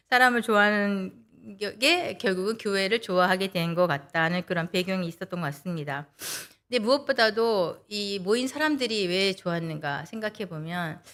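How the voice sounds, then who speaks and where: In an ordinary speaking voice, a woman talks at a moderate pace and medium pitch with lively intonation. The recording is very clean, with a silent background. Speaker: lay speaker giving a sermon talk, interpreter by trade. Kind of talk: sermon.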